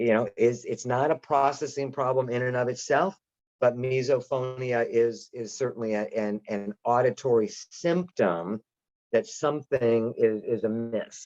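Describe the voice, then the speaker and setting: This man has an unremarkable speaking voice of medium pitch, talking at a fairly slow pace with ordinary pitch variation in a dry, close sound with no echo. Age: 60s. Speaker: audiologist presenter. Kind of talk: lecture. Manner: casual, conversational.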